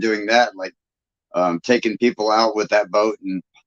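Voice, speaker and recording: This man has a plain, everyday voice, fairly low in pitch, moving at a fairly quick pace with fairly even intonation. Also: dry, close sound with no echo. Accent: American. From Michigan. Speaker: livestream host, YouTuber. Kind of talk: casual chat. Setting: live stream.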